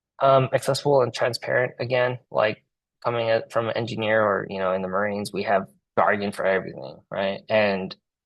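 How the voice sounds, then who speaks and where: This man speaks with a Cantonese accent at a medium pitch and a fairly quick pace, with ordinary pitch variation. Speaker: engineer and community representative; Marine veteran. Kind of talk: presentation at a public meeting. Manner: halting, many repetitions and fillers.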